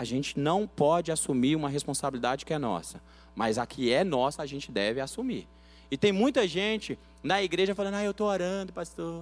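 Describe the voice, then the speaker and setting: A man with an ordinary speaking voice, fairly high in pitch, at a fairly quick pace with lively intonation. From Bahia, Brazil, raised in São Paulo. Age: 30s. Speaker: pastor. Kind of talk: sermon.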